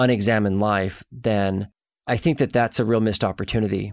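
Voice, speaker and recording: In an ordinary speaking voice with fairly even intonation, a man talks at a fairly quick pace and a fairly low pitch, the recording very clean with a silent background and a dry, close sound with no echo. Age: 40s. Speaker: podcast host, marriage and family therapist. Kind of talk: casual interview chat; scripted intro.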